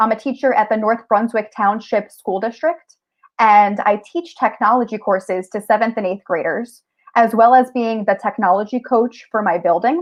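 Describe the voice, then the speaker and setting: With an American accent, a woman speaks at a moderate pace in a fairly high pitch with ordinary pitch variation. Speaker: teacher and tech coach. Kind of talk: conference presentation. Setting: virtual conference.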